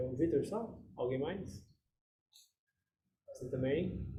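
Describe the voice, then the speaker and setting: A man's voice with audible room echo. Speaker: meditation group leader. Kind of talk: casual group discussion.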